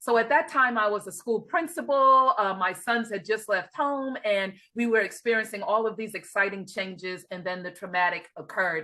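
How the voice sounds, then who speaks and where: Speaking with a slight New York accent, a woman with a bright, sharp tone and lively intonation keeps a moderate pace with hardly any pauses. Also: fairly high pitch for a woman. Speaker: life and grief coach. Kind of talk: interview.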